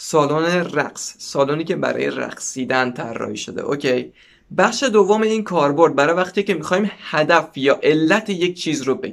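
This man talks at a moderate pace with lively intonation and a fairly high pitch. Vocal fry runs through his voice. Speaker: language teacher. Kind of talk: tutorial. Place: home room. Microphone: lapel.

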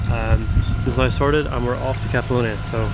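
A man at a moderate pace, dry sound with no echo, loud background noise all around. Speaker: sailing vlogger. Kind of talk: casual vlog chat. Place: boat. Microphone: phone near.

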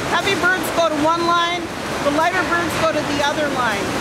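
A woman speaks at a moderate pace against loud background noise. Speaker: plant tour guide. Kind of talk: tour explanation. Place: factory. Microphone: handheld.

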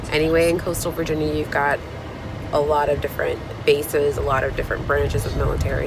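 A woman talks at a fairly quick pace. Noticeable background noise sits under a dry sound with no echo. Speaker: vlogger. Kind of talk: casual vlog chat. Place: car. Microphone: phone near.

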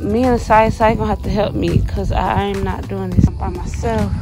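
A woman's voice sounds dry, with no echo. Clear music plays in the background. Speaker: vlogger. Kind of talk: casual vlog chat. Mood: nervous, joking. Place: garden. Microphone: phone near.

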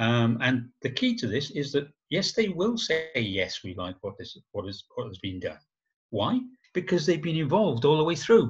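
Against a quiet background, a man with vocal fry speaks at a moderate pace, showing very wide pitch swings and big swings in loudness. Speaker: agile trainer. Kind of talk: webinar presentation. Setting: video call. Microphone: video call.

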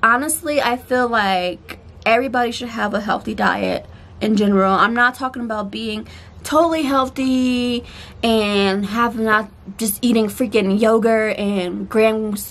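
A woman talks at a fairly slow pace, her pitch varying in an ordinary way. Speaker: vlogger. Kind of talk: casual vlog chat. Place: garden. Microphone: phone near.

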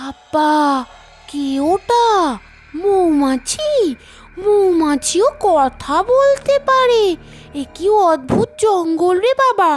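A cartoonish character voice, female-sounding and extremely high-pitched, moves at a very slow pace with very wide pitch swings. Music plays in the background. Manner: soft, earnest.

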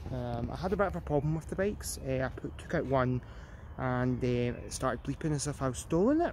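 In a Glasgow accent, a man talks at a fairly quick pace, the sound dry with no echo and light background noise present. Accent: Scottish (Glasgow). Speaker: vlogger. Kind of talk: casual vlog narration. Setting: outdoors. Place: street. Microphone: phone near.

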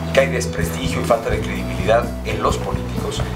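A man's fairly quick speech competes with loud music playing behind him. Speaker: candidate. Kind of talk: interview answer. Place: studio.

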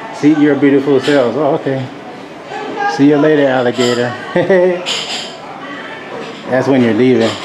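Crowd noise fills the background. A man speaks with ordinary pitch variation. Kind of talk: casual vlog chat. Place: shop. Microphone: phone near.

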